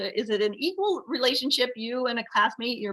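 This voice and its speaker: A woman's fairly high voice comes across with a bright, sharp tone. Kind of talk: academic presentation. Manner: halting, many fillers and repeats.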